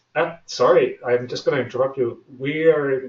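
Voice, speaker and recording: A man talks in a somewhat breathy voice. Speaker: webinar host. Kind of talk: webinar presentation. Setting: online webinar. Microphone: slight sound issues reported by listeners.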